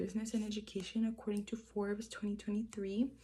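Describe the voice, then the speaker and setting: In a Spanish accent, a woman speaks at a fairly high pitch, sounding somewhat breathy. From moved to the US from a Spanish-speaking country at age five. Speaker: student. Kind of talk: persuasive speech. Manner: hesitant, with frequent fillers.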